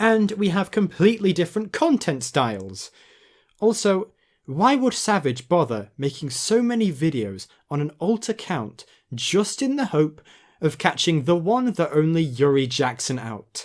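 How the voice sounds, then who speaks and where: Pitched high with very wide pitch swings, a man with a British accent speaks at a fairly slow pace in a very clean recording with a silent background. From Britain. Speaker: commentary youtuber. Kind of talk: video essay narration.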